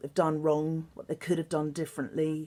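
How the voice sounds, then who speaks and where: In an English accent, a woman speaks with a very deep, low pitch and a dark, mellow tone on a very clean recording with a silent background. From England. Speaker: singer and songwriter. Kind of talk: recorded interview answers to students.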